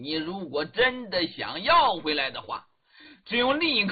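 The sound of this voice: Throughout, the reading voice sounds unforced.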